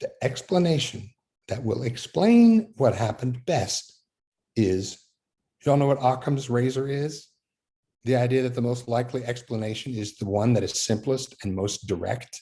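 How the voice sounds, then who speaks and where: A man with an American accent speaks at medium pitch with ordinary pitch variation. His tone is dark and mellow, and somewhat breathy. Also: moderate pace. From Fort Worth, Texas. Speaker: Methodist minister. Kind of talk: talk on faith.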